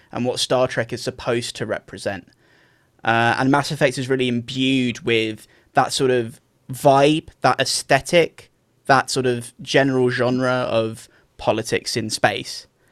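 The speaker has a plain, everyday voice. The pace is fairly slow, with fairly even intonation. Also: man, medium pitch for a man. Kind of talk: casual chat, video game discussion. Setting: remote recording.

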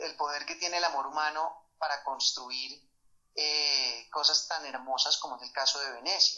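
A man's fairly high-pitched, normal speaking voice at a moderate pace. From Colombia, Bogotá. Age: 30s. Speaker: musician and sculptor. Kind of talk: interview.

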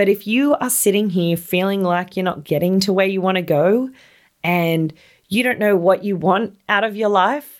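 An Australian accent marks this woman's enthusiastic, warm tone as she speaks at a fairly slow pace. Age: 30s. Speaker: podcast host, equestrian rider. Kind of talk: solo motivational podcast monologue.

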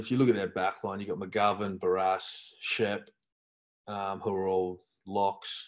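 With an Australian accent, a man speaks at a fairly low pitch and a fairly slow pace. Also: quiet background. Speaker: former footballer. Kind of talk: casual chat.

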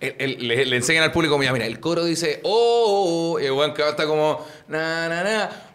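A man with a fairly high pitch speaks at a moderate pace, and audible room echo surrounds his voice. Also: ordinary pitch variation. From Chile. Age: 20s. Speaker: podcast host. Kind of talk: casual chat.

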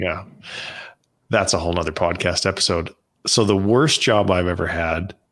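Speaking in a Canadian accent, a man has a very deep, low pitch and fairly even intonation. He moves at a moderate pace with long, frequent pauses. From Canada. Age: 50s. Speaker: entrepreneur. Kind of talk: casual interview chat.

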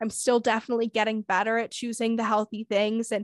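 A woman with a normal speaking voice talks at a moderate pace, her pitch fairly high. The sound is dry and close with no echo, against a quiet background. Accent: American. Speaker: podcast host. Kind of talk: casual chat.

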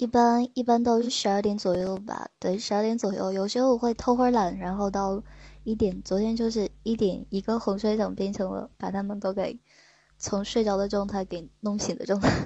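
A woman talks at a moderate pace in a plain, everyday voice. Her pitch is medium and her intonation fairly even. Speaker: sleep-aid streamer. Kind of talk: casual call-in chat.

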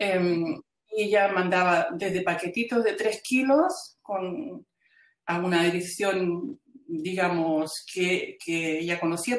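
Very slowly, a woman speaks in a fairly low voice with ordinary pitch variation. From Chile. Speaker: textile artist and educator. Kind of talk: interview. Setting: video call. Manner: halting, many repetitions.

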